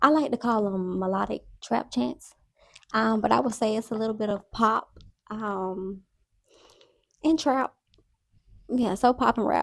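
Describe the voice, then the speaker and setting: Fairly high-pitched woman's speech, fairly slow, with long, frequent pauses and ordinary pitch variation. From Georgia, US South (Columbus, Atlanta). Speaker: singer-rapper. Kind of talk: interview.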